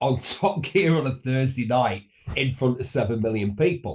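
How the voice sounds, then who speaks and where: With a northern English accent, a man speaks at a medium pitch with lively intonation and a somewhat breathy sound. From northern England. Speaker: motoring journalist and broadcaster. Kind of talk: radio interview.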